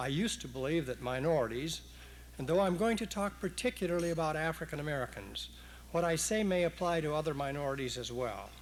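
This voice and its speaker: In audible room echo, a man talks at a fairly quick pace. His pitch is fairly high, with ordinary variation. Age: 60s. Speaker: retired judge. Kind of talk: public speech. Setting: stage with audience, broadcast on radio. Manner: formal.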